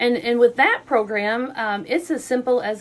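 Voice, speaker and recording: Over noticeable background noise, a woman with an American accent speaks with ordinary pitch variation. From southeast Missouri. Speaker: hospital foundation community relations manager. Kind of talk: radio interview.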